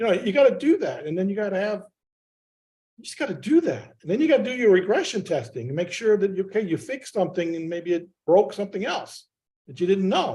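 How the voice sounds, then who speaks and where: A man speaks very fast at a high pitch, in a dark, mellow tone. His intonation is lively, with big swings in loudness. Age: 60s. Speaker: software testing veteran. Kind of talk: community call discussion.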